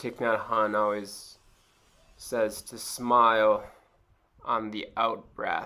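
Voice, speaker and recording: A man speaks very slowly at medium pitch, with a bright, sharp tone and monotone, flat intonation. Long, frequent pauses and big swings in loudness mark his delivery. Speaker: mindfulness instructor. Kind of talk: tutorial. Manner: casual, many fillers.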